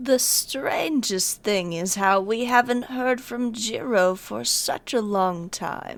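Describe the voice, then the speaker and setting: A put-on character voice, female-sounding and medium in pitch, goes at a very slow pace. It runs on with hardly any pauses. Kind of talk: video game fan dub. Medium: dub.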